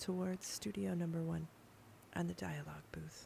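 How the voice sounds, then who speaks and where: A woman talks quietly at a moderate pace. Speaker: audio tour guide. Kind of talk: guided audio tour.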